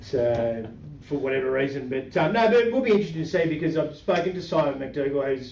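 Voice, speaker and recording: Audible room echo surrounds a man with an Australian accent, speaking at a fairly high pitch and a fairly quick pace. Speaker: market commentary podcast host. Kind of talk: casual chat. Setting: podcast recording with webcam. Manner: fast; halting, many fillers.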